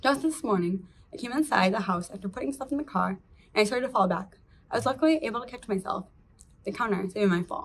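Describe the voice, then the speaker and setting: A woman's fairly high, somewhat breathy voice, very fast, with very wide pitch swings. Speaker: patient with late-onset Tay-Sachs, teacher. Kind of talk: prepared testimony statement. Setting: virtual meeting. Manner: halting with repeated syllables.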